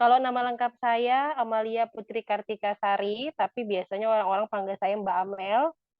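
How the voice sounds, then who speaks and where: A woman talks at a moderate pace in a fairly high voice. She hardly pauses and keeps her intonation fairly even. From Indonesia, East Kalimantan (Balikpapan). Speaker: psychologist and lecturer. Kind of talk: podcast interview. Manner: talkative; casual.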